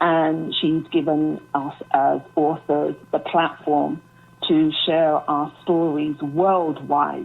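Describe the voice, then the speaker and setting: A woman with a British accent speaks very slowly in a very deep, low pitch, her intonation monotone and flat. Her loudness stays very even over music in the background. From UK, Jamaican heritage. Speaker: author. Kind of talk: interview. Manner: hesitant, many fillers.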